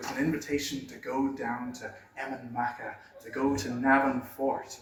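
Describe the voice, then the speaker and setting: Noticeable background noise surrounds a man talking in a medium pitch. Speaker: storyteller; museum visitor guide. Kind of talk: live folklore storytelling to an audience. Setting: small room in a pub, noisy.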